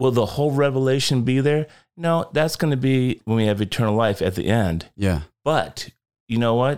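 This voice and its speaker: In a very clean recording with a silent background, a man speaks in a normal speaking voice at a medium pitch with lively intonation. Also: moderate pace, very even loudness. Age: 50s. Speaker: Bible teacher and rideshare driver. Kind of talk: casual chat. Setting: studio.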